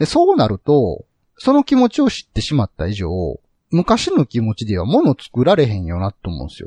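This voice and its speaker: A man's voice with big swings in loudness, recorded with a dry, close sound and no echo. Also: fairly quick pace. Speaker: podcast host. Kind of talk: casual chat.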